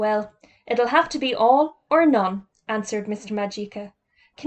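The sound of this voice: Against quiet surroundings, the speaker reads in an unforced reading voice, the pitch varying in an ordinary way.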